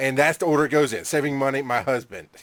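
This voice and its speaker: A man speaks at a very fast pace with a Southern US accent and a medium pitch. The recording is very clean, with a silent background. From Georgia, US South. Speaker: internet radio co-host. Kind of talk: casual banter.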